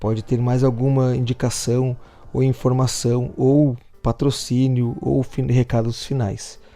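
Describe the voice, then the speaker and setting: With a dark, mellow tone and fairly even intonation, a man speaks at a medium pitch and a fairly slow pace. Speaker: podcast workshop instructor. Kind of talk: lecture.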